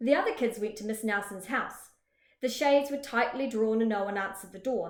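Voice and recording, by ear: The pitch shifts in an ordinary way as a text is read aloud in a natural voice. All is quiet behind it.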